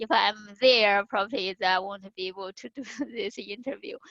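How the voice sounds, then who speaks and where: A woman speaks with a Chinese accent and ordinary pitch variation. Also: dry, close sound with no echo. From China. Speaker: conference speaker. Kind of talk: interview. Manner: halting, many fillers.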